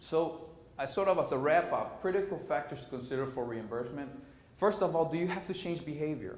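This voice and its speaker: Amid noticeable background noise and audible room echo, a man talks fairly quickly at a fairly high pitch with ordinary pitch variation. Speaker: conference presenter. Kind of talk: conference presentation. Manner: fast.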